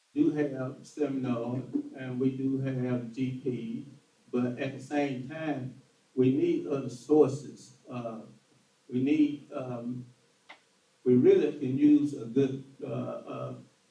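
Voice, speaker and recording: The speech comes at a very slow pace in a Southern US accent, with long, frequent pauses and monotone, flat intonation. Audible room echo surrounds it. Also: man, medium pitch for a man. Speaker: political candidate. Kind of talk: political forum answer. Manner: halting.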